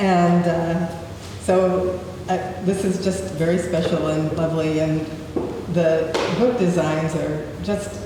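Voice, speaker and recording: A woman with a fairly low pitch speaks at a very slow pace, leaving long, frequent pauses. Her loudness stays very even against noticeable background noise. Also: fairly even intonation. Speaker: poet. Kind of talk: casual remarks to an audience.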